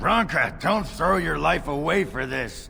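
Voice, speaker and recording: Using a put-on character voice, a man talks at a fairly slow pace with fairly high pitch over clear background noise. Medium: video game. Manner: gruff, blunt.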